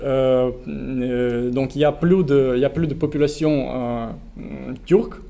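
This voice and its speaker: A man speaks at a very slow pace with a non-native accent. His pitch varies in an ordinary way. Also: medium pitch for a man. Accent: foreign accent in French. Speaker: researcher, panel speaker. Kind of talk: public talk at a political meeting. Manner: halting, many hesitations and repetitions.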